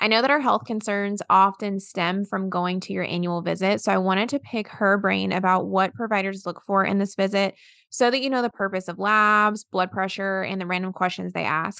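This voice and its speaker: Against a quiet background, a woman in a Southern accent speaks at medium pitch with fairly even intonation and hardly any pauses. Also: moderate pace. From US South, South Carolina. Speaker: podcast host, registered dietitian. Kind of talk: scripted episode intro; casual interview chat.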